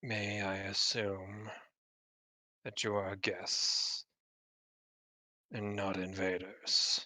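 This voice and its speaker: Using a put-on character voice, a man speaks raspily at a very slow pace and a fairly low pitch, with long, frequent pauses. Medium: actual play. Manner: archaic, formal.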